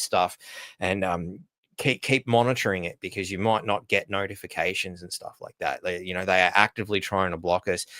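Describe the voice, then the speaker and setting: Recorded very cleanly against a silent background, dry and close with no echo, a man with an Australian accent talks fairly quickly in a fairly low, monotone, flat voice. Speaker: livestream host. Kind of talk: casual live stream talk. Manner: halting, many fillers and restarts.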